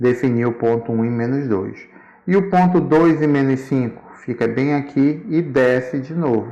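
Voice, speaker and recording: A man talks fairly slowly, his pitch sitting in the medium range and varying in an ordinary way. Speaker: school math teacher. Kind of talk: tutorial.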